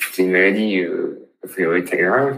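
This man has a very deep, low pitch, a bright, sharp tone and ordinary pitch variation. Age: 30s. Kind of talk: interview. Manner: halting.

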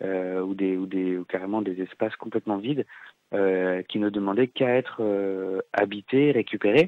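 Fairly even intonation at a moderate pace. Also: man, fairly low pitch for a man. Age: 20s. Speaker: former community radio project manager. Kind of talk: interview. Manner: hesitant, many fillers.

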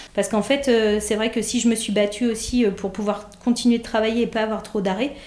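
At a fairly quick pace, a woman speaks in a monotone, flat intonation. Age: 30s. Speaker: nurse. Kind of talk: testimony. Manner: halting, many hesitations.

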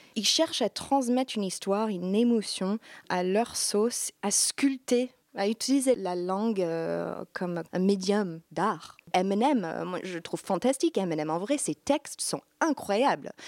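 A woman with an ordinary speaking voice speaks at a medium pitch and fairly slow pace with lively intonation, in a dry, close sound with no echo. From US Midwest, Iowa. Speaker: singer-songwriter. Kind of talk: interview.

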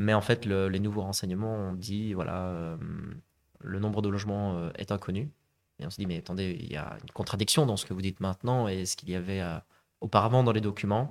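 A man with a normal speaking voice talks at a fairly quick pace and a fairly low pitch. Pitch variation is ordinary, and the recording is very clean with a silent background. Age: 30s. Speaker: property investor, conference interpreter. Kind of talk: podcast interview.

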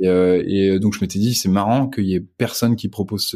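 This man has an unremarkable speaking voice. His pitch sits fairly low and his intonation stays fairly even. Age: 20s. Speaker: entrepreneur and father. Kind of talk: casual interview chat.

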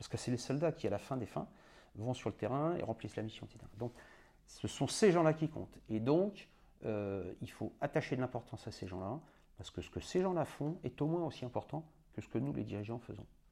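A man at a fairly quick pace, medium pitch with very wide swings, dark and mellow in tone, on a very clean recording with a silent background. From France, moved around incl. Africa as a child. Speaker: retired army general. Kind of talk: interview.

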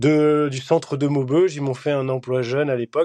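A man's medium-pitched voice with a dark, mellow tone, at a fairly slow pace, with a dry, close sound and no echo. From Belgium. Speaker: champion skydiver. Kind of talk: interview. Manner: hesitant with fillers.

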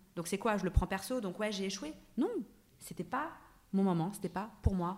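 This woman's voice is somewhat breathy, at a medium pitch with ordinary pitch variation. Her pace is moderate. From France, Paris suburbs. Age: 30s. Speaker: actress and wellness blogger. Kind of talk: casual chat. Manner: halting, many repeated words.

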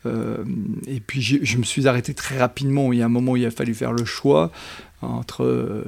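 Pitched in the medium range, a man talks at a fairly slow tempo. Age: 60s. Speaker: business school professor and coach trainer. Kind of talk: interview. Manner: hesitant with many fillers.

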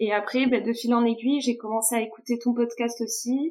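A woman with a high pitch and a dark, mellow tone speaks with fairly even intonation. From Toulouse, southwest France. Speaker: food industry sales rep. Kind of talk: casual interview chat.

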